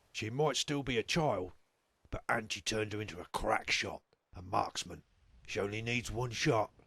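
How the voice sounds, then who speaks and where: This put-on character voice sounds raspy and keeps a moderate pace. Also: man, medium pitch for a man. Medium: video game. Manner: measured, authoritative.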